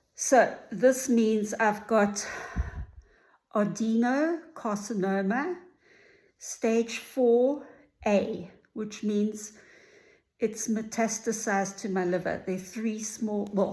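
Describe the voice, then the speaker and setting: A woman's fairly high, somewhat breathy voice with a dark, mellow tone, ordinary pitch variation and a very slow pace. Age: 60s. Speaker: vlogger sharing cancer journey. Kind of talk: personal video diary. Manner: casual with filler words.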